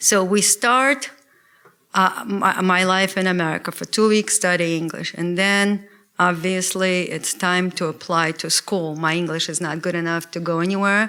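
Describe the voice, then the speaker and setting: A woman with a Russian accent speaks in a bright, sharp tone with fairly even intonation, on a very clean recording with a silent background. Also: medium pitch for a woman, moderate pace. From Russia (former Soviet Union). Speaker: lawyer. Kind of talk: lecture. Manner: hesitant, with fillers.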